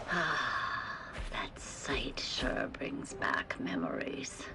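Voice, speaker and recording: A woman uses a put-on character voice at a very slow pace. There is loud background noise behind her. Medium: audio drama. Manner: resolute, weary.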